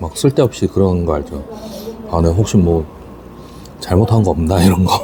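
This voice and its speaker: A quiet man speaks with a very deep, low pitch, leaving long, frequent pauses. Noticeable background noise runs underneath. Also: ordinary pitch variation, moderate pace. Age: 40s. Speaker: taxi driver. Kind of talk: casual eating vlog talk to camera.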